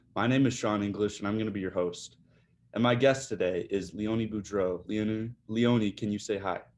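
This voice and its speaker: Fairly quick, fairly evenly intoned speech with a Midwestern accent against a quiet background. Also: man, fairly low pitch for a man. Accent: Midwest US. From Michigan, Detroit area. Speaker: podcast host. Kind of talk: interview.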